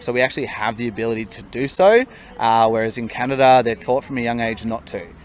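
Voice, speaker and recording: The man's intonation stays fairly even beneath noticeable background noise. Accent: Australian. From Australia. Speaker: solo traveller. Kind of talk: interview answer.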